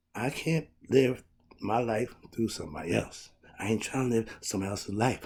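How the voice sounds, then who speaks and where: This man talks at a medium pitch and moderate pace in a dark, mellow tone. His voice is somewhat breathy, with lively intonation. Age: 60s. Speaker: self-help life coach. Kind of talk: motivational talk to camera. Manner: upbeat.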